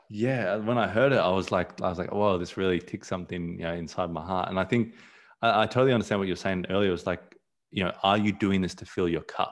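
Very deep and low, a man's voice carries an Australian accent at a very fast pace. His pitch variation is ordinary. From born in South Africa, raised partly abroad, lives in Australia. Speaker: photographer. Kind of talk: casual interview chat.

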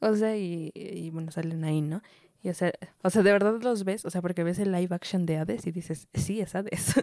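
A woman talks at a fairly quick pace with a Mexican accent. Her voice is fairly low, with a dark, mellow tone and ordinary pitch variation. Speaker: podcast co-host. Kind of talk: casual chat. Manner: animated.

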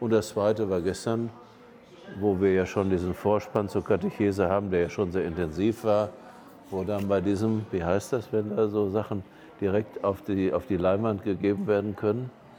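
A man's fairly low-pitched voice, a normal speaking voice, with fairly even intonation and very even loudness. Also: moderate pace. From Germany. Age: 60s. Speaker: auxiliary bishop. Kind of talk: casual interview. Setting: on location in Lisbon.

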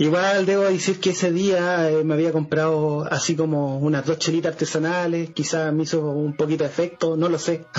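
Over noticeable background noise, a man with a Chilean accent and a fairly high pitch speaks in a monotone, flat intonation at very even loudness with hardly any pauses. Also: moderate pace. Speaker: podcast co-host. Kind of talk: casual chat.

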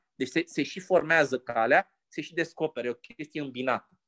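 A man with an unremarkable speaking voice talks at a moderate pace with fairly high pitch and ordinary pitch variation, recorded dry and close with no echo over a quiet background. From Romania, Pitești. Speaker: university lecturer. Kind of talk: casual chat.

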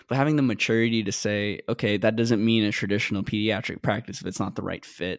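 Heard in a very clean recording with a silent background, a man speaks at a medium pitch with ordinary variation. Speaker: podcast host. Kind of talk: casual interview. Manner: animated.

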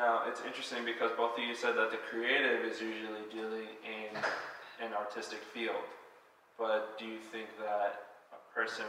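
Noticeable background noise fills the recording. A man talks at a fairly quick pace over it. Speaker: podcast host. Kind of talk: casual interview.

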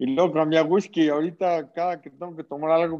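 Fairly high male voice over a quiet background. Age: 40s. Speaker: social entrepreneur. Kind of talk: casual interview chat. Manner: halting, repeats words.

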